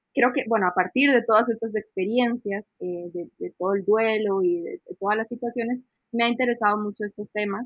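A woman speaks in a plain, everyday voice at a fairly quick pace. Her pitch is fairly high, and her intonation fairly even. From Costa Rica. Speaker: UX researcher and designer. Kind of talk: casual interview.

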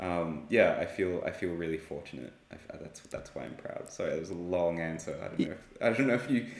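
A man with an Australian accent speaks at a fairly quick pace with big swings in loudness. Audible room echo surrounds his voice. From Australia (Sydney). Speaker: artist and illustrator. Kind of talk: casual interview. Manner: hesitant, many fillers.

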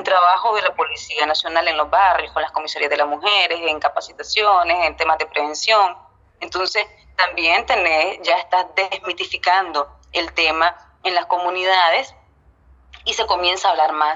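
Fairly even intonation at a moderate pace, in a Nicaraguan accent. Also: woman, fairly low pitch for a woman. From Nicaragua, Estelí. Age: 30s. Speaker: TV news editor. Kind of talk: interview.

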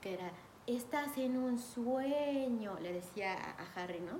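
A woman with a Mexican accent speaks at a fairly high pitch and with lively intonation, with audible room echo and noticeable background noise. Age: 30s. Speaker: podcast host. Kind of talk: casual monologue.

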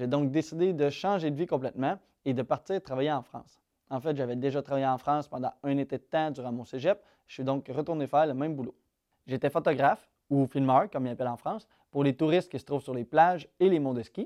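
A man with a Quebec accent talks at a fairly quick pace with ordinary pitch variation and a dark, mellow tone, recorded with a dry, close sound and no echo. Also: fairly high pitch for a man, quiet background. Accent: Québécois French. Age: 20s. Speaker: YouTuber and real estate investor. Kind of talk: casual vlog monologue.

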